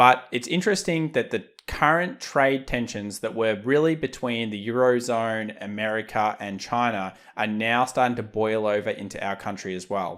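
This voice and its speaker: Medium-pitched male speech at a moderate pace, with ordinary pitch variation and hardly any pauses, on a very clean recording with a silent background. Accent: Australian. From Australia. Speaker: market analysis youtuber. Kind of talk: market commentary video.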